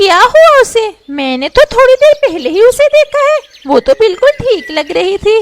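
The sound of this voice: At a moderate pace, a woman performs a cartoonish character voice at an extremely high pitch with very wide pitch swings.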